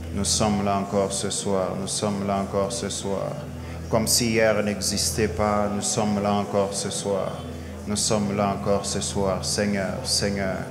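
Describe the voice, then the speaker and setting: A man's fairly low voice at a fairly slow pace, with clear music in the background. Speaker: preacher. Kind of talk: prayer. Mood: fervent, devotional. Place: church. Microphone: handheld.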